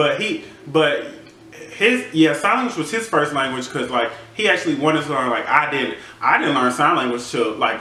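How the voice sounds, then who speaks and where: Over noticeable background noise and audible room echo, a man with a fairly high pitch and an American accent speaks at a moderate pace with lively intonation. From Georgia, US (Athens, Madison County). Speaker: podcast co-host. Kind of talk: casual chat.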